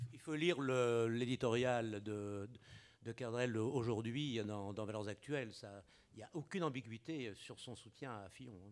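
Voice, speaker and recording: A man talks at a very slow pace. His loudness swings widely. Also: ordinary pitch variation. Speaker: panelist. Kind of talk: Q&A comment. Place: hall. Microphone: podium.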